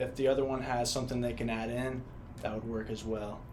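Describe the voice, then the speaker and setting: A man with a medium-pitched voice talks at a moderate pace, and the room echo is audible. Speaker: student interviewer. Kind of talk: interview.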